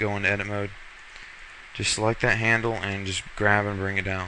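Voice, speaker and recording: Over noticeable background noise, a man speaks in a fairly low, monotone voice with flat intonation. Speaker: software tutorial maker. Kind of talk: tutorial. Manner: casual, hesitant with fillers.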